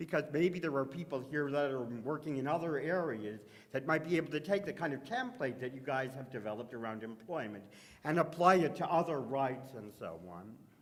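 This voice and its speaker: A man with a Canadian accent talks at a fairly quick pace, his pitch fairly high. His intonation is lively, and the room echo is audible. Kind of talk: conference panel talk. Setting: conference stage with audience and microphone. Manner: loud.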